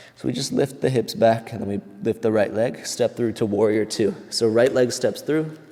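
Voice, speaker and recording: Talking at a moderate pace, a man is heard against noticeable background noise. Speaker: yoga instructor. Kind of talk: guided yoga class.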